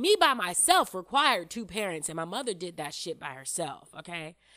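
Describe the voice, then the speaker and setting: A bright, sharp, animated tone at a moderate pace, with very wide pitch swings. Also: woman. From United States. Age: 30s. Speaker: podcast host. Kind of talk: casual monologue.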